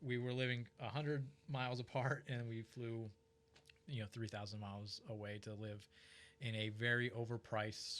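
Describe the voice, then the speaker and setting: A man with an unremarkable speaking voice and an American accent, medium in pitch, moderate in pace, with fairly even intonation. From Ohio, US Midwest. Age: 30s. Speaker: financial advisor. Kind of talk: casual chat.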